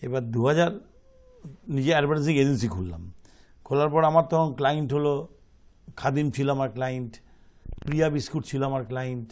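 A man talks at a fairly high pitch with ordinary pitch variation. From Kolkata, India; India. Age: 60s. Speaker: entrepreneur; guest. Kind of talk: interview. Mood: calm, reflective. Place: studio.

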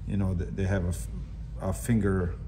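A man speaks at a fairly quick pace with a low pitch and little pitch movement. Background noise is clearly audible.

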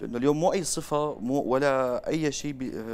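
A man talks with fairly even intonation. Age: 20s. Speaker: salesman, marketing expert; salesman. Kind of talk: interview. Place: studio. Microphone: lapel.

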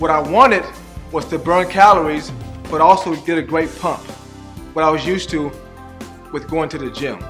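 Music plays in the background. A man talks with a fairly high pitch. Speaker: fitness coach. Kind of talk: infomercial testimonial.

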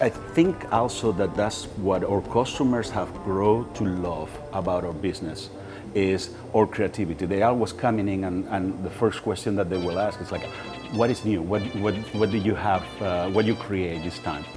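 Over clear background music, a man talks at a moderate pace in a fairly low pitch with ordinary pitch variation. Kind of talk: interview answer. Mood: enthusiastic, warm. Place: shop. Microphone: lapel.

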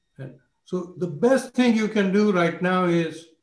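A man's high-pitched voice with lively intonation, audible room echo and a quiet background. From India. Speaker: finance professor. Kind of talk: panel speech. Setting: video call. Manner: humble. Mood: reflective, grateful. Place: home room. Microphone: video call.

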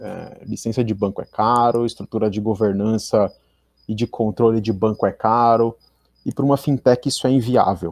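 Medium-pitched male speech at a moderate pace, fairly even in intonation, with a dry, close sound and no echo. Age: 30s. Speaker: information security executive. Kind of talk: conference talk.

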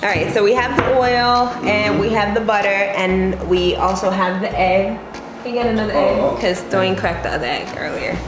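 Fairly quick speech with ordinary pitch variation over background music. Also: woman. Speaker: vlogger. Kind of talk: casual vlog chat. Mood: playful, lightly exasperated. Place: kitchen. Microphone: phone near.

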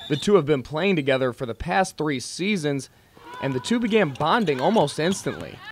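A man with a fairly high pitch talks at a fairly quick pace with lively intonation, and background noise is noticeable. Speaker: student broadcast reporter / multimedia journalist. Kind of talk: TV news reporter delivery. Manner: clear, conversational news read.

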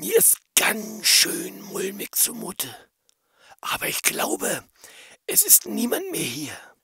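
In a shaky, put-on character voice, a man speaks at a fairly slow pace. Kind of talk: family radio play. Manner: nervous, trembling.

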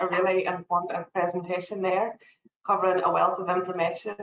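A woman at a fairly quick pace amid noticeable background noise. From Northern Ireland. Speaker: tourism quality assurance officer; webinar host moderator. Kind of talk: webinar hosting. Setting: video call. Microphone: video call.

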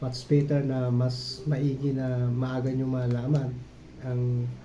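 Flat, monotone speech from a man at medium pitch, with audible room echo. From Bicol region, Philippines. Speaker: YouTube vlogger. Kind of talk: personal vlog monologue. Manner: halting, many fillers.

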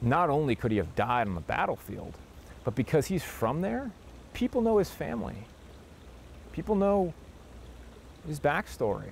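A man with an American accent, a fairly high pitch, very wide pitch swings, a somewhat breathy voice and a moderate pace, in a dry sound with no echo and light background noise. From Wisconsin, US Midwest. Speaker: war veteran. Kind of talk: interview. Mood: earnest, firm conviction. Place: garden. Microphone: lapel.

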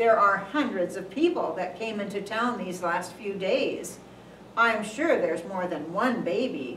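A put-on, gruff character voice, female-sounding and middle-pitched, at a moderate pace with a slight echo. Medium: puppet show. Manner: gruff, impatient, dismissive.

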